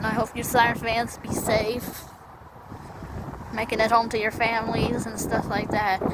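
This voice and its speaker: Against noticeable background noise and audible room echo, a woman speaks at a moderate pace in a fairly high pitch, with monotone, flat intonation and long, frequent pauses. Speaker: siren enthusiast vlogger. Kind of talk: casual vlog narration. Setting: outdoors. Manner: halting.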